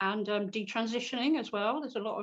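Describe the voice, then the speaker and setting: Here a woman talks at a fairly quick pace. Her pitch is fairly high. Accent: British. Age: 60s. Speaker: political cartoonist. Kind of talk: interview. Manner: hesitant, repeats words.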